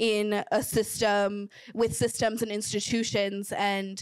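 Against a quiet background, a woman speaks at a very slow pace with fairly even intonation and a dry sound with no echo. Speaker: panelist. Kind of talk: panel discussion answer. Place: hall. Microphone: handheld.

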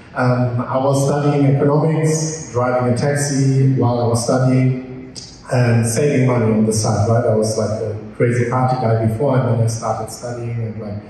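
There is audible room echo around a man's dark, mellow voice, which shows little pitch movement. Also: medium pitch for a man, moderate pace.

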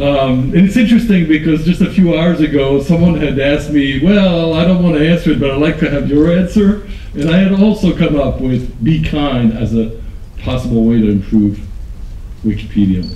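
The intonation is lively, with light background noise and audible room echo. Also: man, fairly high pitch for a man, moderate pace. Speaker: conference speaker on online community; conference speaker. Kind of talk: conference talk. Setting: stage with audience. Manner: enthusiastic. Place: hall. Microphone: podium.

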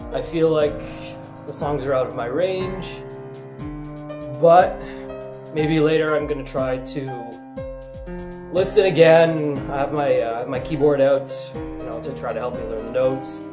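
The man speaks fairly slowly while noticeable noise sits in the background. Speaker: vlogger. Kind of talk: casual talk to camera. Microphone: webcam.

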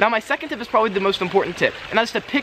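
A man talks at a very fast pace in a raised, projected voice with ordinary pitch variation over light background noise. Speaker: travel vlogger. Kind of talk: casual vlog tips. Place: garden. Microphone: camera far.

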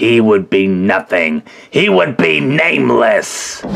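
A put-on character voice from a man, fairly low in pitch and very slow. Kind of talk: villain speech. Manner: commanding, oratorical.

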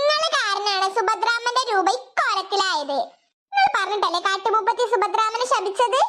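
This is a cartoonish character voice that sounds female. Its pitch is extremely high. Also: moderate pace. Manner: direct, insistent.

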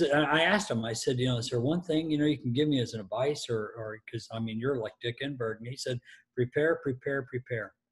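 A man with an American accent talks at a fairly quick pace, somewhat breathy, with ordinary pitch variation. The background is quiet. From US Midwest. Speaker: stadium announcer. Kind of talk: interview answer, telling anecdotes. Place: home room. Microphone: video call.

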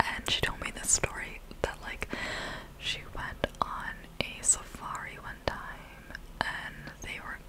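A soft-spoken woman whispers at a very slow pace. Noticeable background noise runs underneath. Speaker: storytelling vlogger. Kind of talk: casual vlog chat. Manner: soft close-mic ASMR whisper. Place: home room. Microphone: studio mic.

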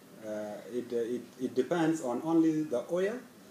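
Light noise runs in the background as this man talks. An echo from the room can be heard. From South Sudan. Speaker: scholarship student. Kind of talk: personal interview. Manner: halting. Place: office. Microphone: camera far.

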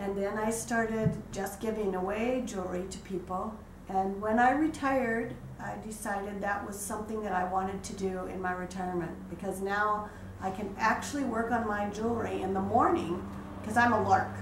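A woman's speech moves at a moderate pace, her pitch varying in an ordinary way, with noticeable noise in the background. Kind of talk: interview. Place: home room. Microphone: camera far.

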